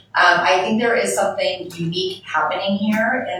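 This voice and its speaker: A fairly quick pace with ordinary pitch variation, audible room echo and noticeable background noise. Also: woman. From Canada. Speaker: business owner, panelist. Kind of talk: panel discussion.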